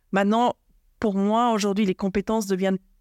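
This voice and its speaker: Fairly even intonation on a very clean recording with a silent background and a dry, close sound with no echo. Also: woman. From Argentina and Switzerland. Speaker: HR director. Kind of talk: interview podcast. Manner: hesitant, many fillers.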